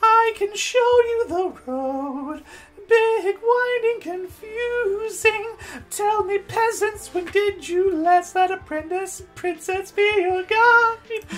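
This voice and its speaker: Over music in the background, a woman speaks at a very slow pace in an extremely high-pitched voice. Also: ordinary pitch variation. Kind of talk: comic overacting. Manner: airheaded, grandiose, bubbly.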